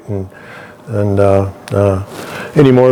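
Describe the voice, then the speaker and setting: A man talks over noticeable background noise. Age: 60s. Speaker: welder. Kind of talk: interview. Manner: halting.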